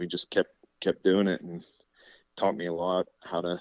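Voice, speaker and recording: In a central Pennsylvania accent, the speaker talks at a fairly slow pace in a flat monotone, with a dry, close sound, no echo and a quiet background. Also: man. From central Pennsylvania, Clearfield County. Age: 30s. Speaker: state trooper and turkey call maker. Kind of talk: casual chat. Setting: studio.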